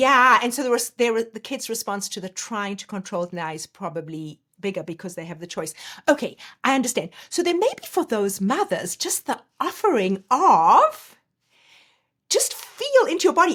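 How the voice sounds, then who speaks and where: The tone is bright and sharp, delivered at a moderate pace. Pitch swings very widely and loudness rises and falls a lot. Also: woman, fairly high pitch for a woman. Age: 60s. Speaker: life coach. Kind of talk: casual chat. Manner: animated.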